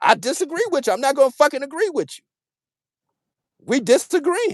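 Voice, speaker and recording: This man speaks loudly at an extremely high pitch with very wide pitch swings. He has an American accent and a fairly quick pace. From Washington DC. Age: 50s. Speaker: boxing commentator. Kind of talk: heated debate.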